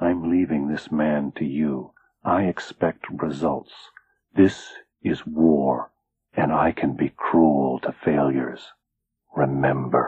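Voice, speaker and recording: A man whispers in a put-on character voice. His pace is fairly slow. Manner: stiff, whispered, monotone.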